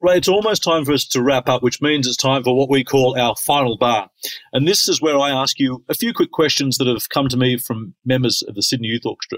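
A fairly high-pitched man with an Australian accent at a fairly quick pace, in a dry, close sound with no echo. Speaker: podcast host, conductor. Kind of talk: interview.

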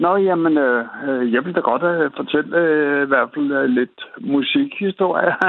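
Noticeable background noise runs behind a man speaking at a very slow pace with hardly any pauses. His pitch is fairly high. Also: ordinary pitch variation. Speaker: caller. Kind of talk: casual chat. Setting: phone call. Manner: halting, many fillers.

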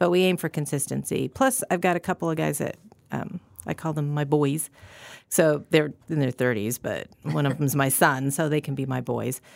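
Vocal fry marks this woman's very deep, low voice, which has an American accent and ordinary pitch variation. She keeps a moderate pace on a very clean recording with a silent background. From Colorado (Gunnison). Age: 50s. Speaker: distiller, former high school science teacher. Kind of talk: casual interview. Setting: studio.

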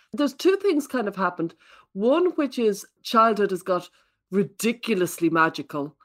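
In an Irish accent, a woman speaks at a moderate pace and medium pitch, her pitch swinging very widely. The recording is very clean, with a silent background. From Ireland. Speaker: parenting expert and author. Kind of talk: casual chat.

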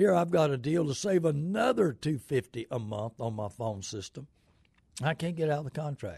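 A dark, mellow, somewhat breathy voice at a moderate pace, with very wide pitch swings over a quiet background. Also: man, fairly high pitch for a man. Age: 70s. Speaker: radio host and used car dealer. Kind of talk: live call-in radio show. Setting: radio studio. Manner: rambling, halting with many fillers.

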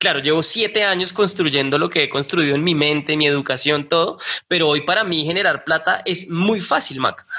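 The speech moves at a moderate pace with very even loudness and hardly any pauses, against noticeable background noise. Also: man, fairly high pitch for a man, ordinary pitch variation. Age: 30s. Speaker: personal finance educator. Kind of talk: interview. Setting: remote call. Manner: animated.

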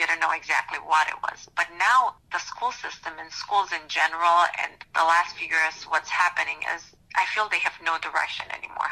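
A woman with a Romanian accent, hardly any pauses between words. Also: moderate pace. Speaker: school board candidate. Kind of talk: interview. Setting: recorded conversation.

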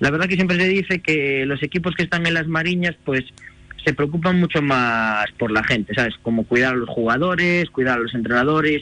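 A man with an unremarkable speaking voice and fairly high pitch talks at a fairly quick pace, his pitch varying ordinarily and his loudness very even. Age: 30s. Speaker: football coach. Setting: phone call.

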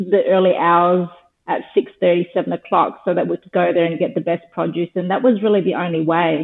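A woman speaks at a fairly quick pace with an Australian accent. Her pitch sits fairly low, and her intonation stays fairly even. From Australia, Darwin (Northern Territory). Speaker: skincare business founder. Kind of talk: interview.

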